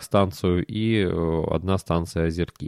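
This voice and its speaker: In a very clean recording with a silent background, the speaker uses ordinary pitch variation. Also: man. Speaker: podcast host, railway enthusiast blogger. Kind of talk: solo monologue podcast.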